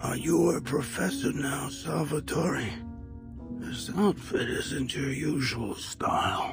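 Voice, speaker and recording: Over clear background music, a man does a cartoonish character voice at medium pitch and a fairly slow pace. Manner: weary, warm.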